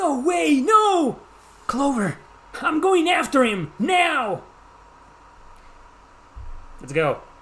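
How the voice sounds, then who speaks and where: A high-pitched, put-on character voice at a very slow pace, with long, frequent pauses. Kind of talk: voice acting, theatrical. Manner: dramatic, urgent, shouting.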